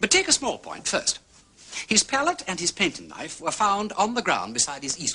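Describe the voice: A man puts on a character voice, high in pitch with very wide pitch swings. His tone is bright and sharp, with a slightly husky edge. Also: moderate pace.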